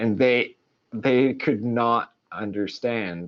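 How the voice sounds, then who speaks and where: With a Swedish accent, a man speaks at a medium pitch and a very slow pace. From Sweden. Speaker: creative podcast co-host, illustrator. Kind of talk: casual chat. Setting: live stream. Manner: casual, many fillers.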